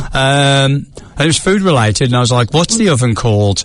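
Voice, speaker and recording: Against noticeable background noise, a man with an English accent speaks with lively intonation. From England. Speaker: podcast co-host. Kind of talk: casual chat. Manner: animated.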